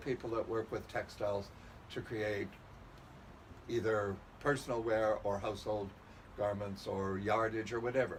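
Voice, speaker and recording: Speaking at a fairly slow pace, the man keeps to a medium pitch. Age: 70s. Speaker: historical fashion collector and curator. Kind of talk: interview. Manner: hesitant with fillers.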